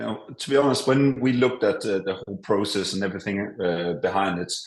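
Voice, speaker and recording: Speaking very fast in a Danish accent, a man shows ordinary pitch variation. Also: fairly low pitch for a man. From Denmark. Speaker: business owner. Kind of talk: interview. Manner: hesitant, many fillers.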